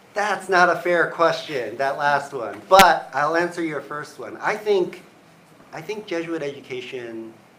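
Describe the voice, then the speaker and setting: A man with a high voice speaks fairly slowly, with lively intonation and big swings in loudness. Room echo is audible. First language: Cantonese. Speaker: university provost. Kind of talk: live Q&A. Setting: office.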